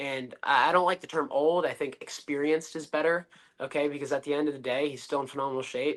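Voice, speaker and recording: A man talks at a fairly quick pace with a fairly high pitch. He has a normal speaking voice with ordinary pitch variation. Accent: American. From Connecticut, US. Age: 20s. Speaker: professional wrestler. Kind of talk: podcast interview. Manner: confident, brash.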